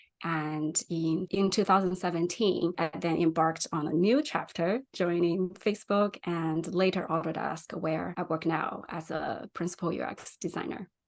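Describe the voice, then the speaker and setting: A woman with a Chinese accent and a fairly low pitch talks at a moderate pace with hardly any pauses and fairly even intonation. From China. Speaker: UX designer. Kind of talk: interview.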